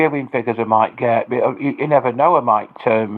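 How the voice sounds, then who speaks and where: A man with an English accent talks at a fairly quick pace with ordinary pitch variation. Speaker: livestreamer. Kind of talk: livestream chat. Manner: loud; halting, repetitive.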